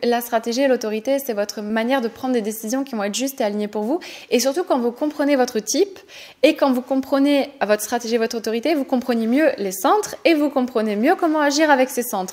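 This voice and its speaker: Her pitch is high and her pitch variation ordinary. The woman talks at a fairly quick pace. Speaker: human design coach and podcast host. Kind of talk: tutorial podcast. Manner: fast; enthusiastic.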